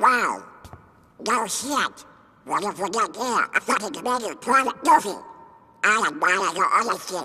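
In a cartoonish character voice, a man talks at extremely high pitch with long, frequent pauses. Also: moderate pace. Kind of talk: military barking.

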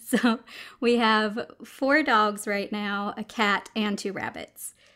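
Woman speaking with fairly even intonation over a quiet background. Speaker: mukbang creator. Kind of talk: casual Q&A vlog chat. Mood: cheerful, laughing. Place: home room.

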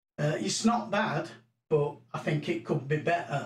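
There is audible room echo around a man speaking. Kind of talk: tutorial. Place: home room. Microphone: camera far.

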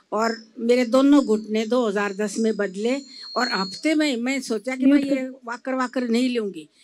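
A woman's high-pitched voice at a fairly slow pace, with ordinary pitch variation and light background noise. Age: 80s+. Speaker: patient. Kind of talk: testimony. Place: hall. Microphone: handheld.

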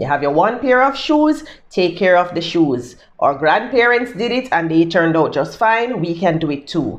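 A woman's fairly low, animated voice with a Jamaican accent, very wide pitch swings and a moderate pace. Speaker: lifestyle YouTuber. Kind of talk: casual tips monologue. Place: home room. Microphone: phone near.

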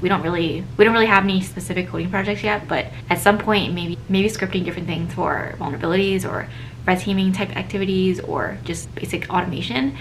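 Light background noise sits behind the recording. A woman with a fairly low pitch speaks at a very fast pace. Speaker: vlogger. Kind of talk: casual vlog chat. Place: home room. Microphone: phone near.

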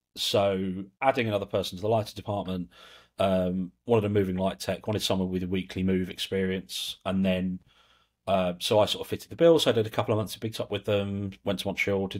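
A man with a southern English accent talks at a very fast pace in a very deep, low voice. His intonation is monotone and flat against a quiet background. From England. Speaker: lighting control systems specialist; podcast guest. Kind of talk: casual interview chat. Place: home room. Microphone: earbuds.

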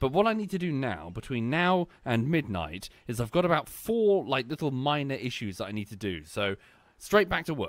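A man speaks at a moderate pace in a medium pitch, with big pitch swings and few pauses.

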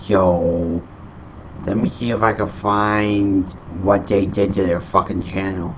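Delivered at a very slow pace in a monotone, flat intonation, the speech has light background noise behind it. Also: man, fairly low pitch for a man. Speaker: gaming channel host. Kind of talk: casual vlog chat. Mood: annoyed, complaining. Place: home room. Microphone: studio mic.

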